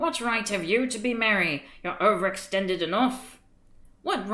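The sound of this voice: The reading voice is unforced, and its pitch moves in an ordinary way.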